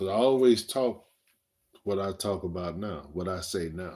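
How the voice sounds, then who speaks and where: Very deep and low in pitch, a man talks in a dark, mellow tone. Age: 60s. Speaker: livestreamer. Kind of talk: casual chat. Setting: livestream.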